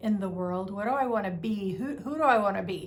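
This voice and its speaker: A woman's somewhat breathy voice with a fairly high pitch. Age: 60s. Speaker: women's mentor and life coach. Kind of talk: casual talk to camera.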